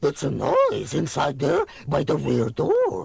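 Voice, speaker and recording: This man adopts a put-on character voice and talks at a fairly slow pace. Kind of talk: audio drama.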